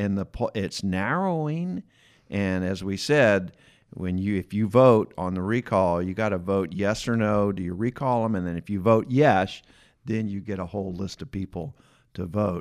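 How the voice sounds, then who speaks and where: Fairly slow and fairly low, a man with an American accent and a normal speaking voice uses ordinary pitch variation in a very clean recording with a silent background. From Atlanta, US South. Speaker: podcast host. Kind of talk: casual interview chat. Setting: studio.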